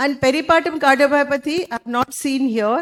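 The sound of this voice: Loud and high-pitched, a woman speaks at a moderate pace with ordinary pitch variation.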